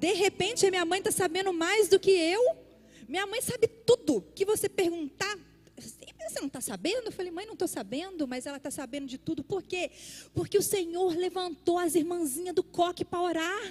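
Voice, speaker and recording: Extremely high in pitch, a woman speaks at a moderate pace with lively intonation and big swings in loudness, captured in a dry, close sound with no echo. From Brazil, Minas Gerais (Belo Horizonte). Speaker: pastor. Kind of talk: sermon. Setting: church service.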